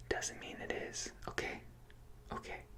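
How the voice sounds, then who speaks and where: A man whispers in a calm tone. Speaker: ASMR creator. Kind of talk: comforting ASMR roleplay, personal attention advice. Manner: soft-spoken, reassuring, calm.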